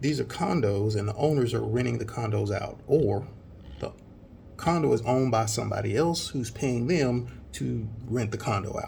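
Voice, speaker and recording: Quiet and with audible room echo, a man with an American accent talks with ordinary pitch variation. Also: medium pitch for a man, moderate pace. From US South. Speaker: vlogger. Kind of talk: casual vlog talk.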